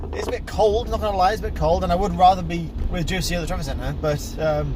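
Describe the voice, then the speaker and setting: Talking at a very fast pace, a man can be heard. Noticeable background noise and audible room echo fill the recording. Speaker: vlogger. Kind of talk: casual vlog talk. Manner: quiet.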